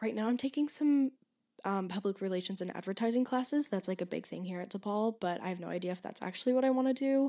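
A woman speaks with an American accent at a medium pitch. Her tone is dark and mellow, with ordinary pitch variation. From Michigan. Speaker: podcast host, college student. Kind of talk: casual solo chat. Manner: fast, chatty with fillers.

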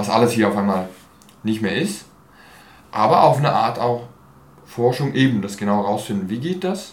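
With lively intonation and long, frequent pauses, a man talks at a moderate pace amid audible room echo. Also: medium pitch for a man. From Switzerland, Basel (from age 11 to 23). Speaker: actor and theatre artist. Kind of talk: interview. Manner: hesitant, many fillers.

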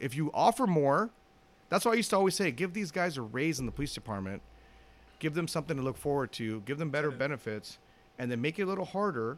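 A man with a Los Angeles accent speaks at a very fast pace and fairly high pitch, his voice making very wide pitch swings. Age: 50s. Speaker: retired police officer. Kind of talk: casual chat.

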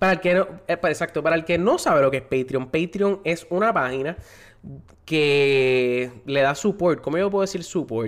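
On a very clean recording with a silent background, a man with a fairly high pitch speaks at a moderate pace, with very even loudness and ordinary pitch variation. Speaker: podcast host. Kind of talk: casual chat. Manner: animated.

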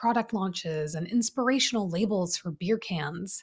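A woman speaks at a medium pitch and a fairly quick pace, her tone animated and somewhat breathy, with ordinary pitch variation. The recording is very clean, with a silent background. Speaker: self-mastery coach and podcast host. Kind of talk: solo podcast monologue.

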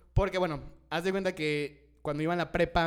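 There is music in the background. Over it, a man speaks at a very fast pace. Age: 20s. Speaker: podcast co-host. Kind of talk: casual chat.

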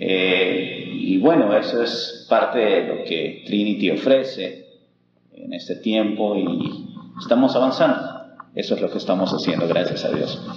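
Fairly slow speech from a man amid audible room echo. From Peru, Huánuco. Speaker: language school director. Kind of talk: interview.

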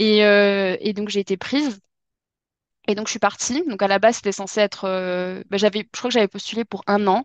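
Over a quiet background, a woman speaks at medium pitch and a moderate pace with fairly even intonation, the sound dry and close with no echo. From southwest France, Dordogne. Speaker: French teacher. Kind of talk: casual chat. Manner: hesitant, many fillers.

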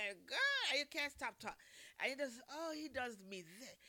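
Raised and projected, a woman's high voice carries an animated tone with ordinary pitch variation. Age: 50s. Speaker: radio show co-host. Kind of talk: casual chat.

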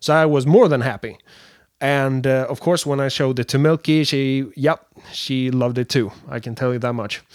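On a very clean recording with a silent background, a man talks at a moderate pace with medium pitch and fairly even intonation. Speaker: animator and game developer. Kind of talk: solo production update podcast. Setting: standing with wireless handheld mic. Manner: unscripted, halting with fillers.

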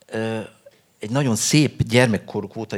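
A man talks with vocal fry. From Hungary, Budapest. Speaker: novelist. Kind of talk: interview at a book festival. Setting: stage with audience. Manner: halting, many fillers and repetitions.

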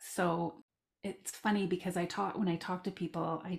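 A woman with a Canadian accent speaks at a moderate pace in a fairly low, somewhat breathy voice with fairly even intonation. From Southern Alberta, Canada. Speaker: life coach and parent of transgender child. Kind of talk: casual interview, personal story.

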